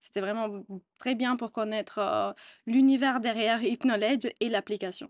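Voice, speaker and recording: A woman with an Italian accent speaks at a moderate pace and a fairly high pitch, her intonation fairly even. The sound is dry and close with no echo, over a quiet background. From Italy. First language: Italian (speaking French). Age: 20s. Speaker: customer service employee. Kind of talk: interview testimony. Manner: hesitant, many fillers.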